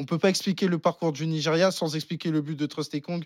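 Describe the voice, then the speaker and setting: A man talks at a very fast pace in a fairly high voice with fairly even intonation, recorded very cleanly against a silent background with a dry, close sound and no echo. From France, partly raised in the Netherlands. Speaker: football pundit. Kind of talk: casual chat.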